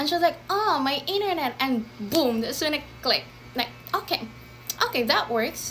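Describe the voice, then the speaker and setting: A woman's high-pitched voice with very wide pitch swings at a moderate pace, long, frequent pauses, and noticeable background noise. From Philippines. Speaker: former call center agent. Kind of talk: casual talk to camera.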